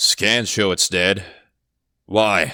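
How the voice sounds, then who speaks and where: The speaker puts on a character voice. It comes out gruff and raspy. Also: man. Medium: read story. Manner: gruff, curt.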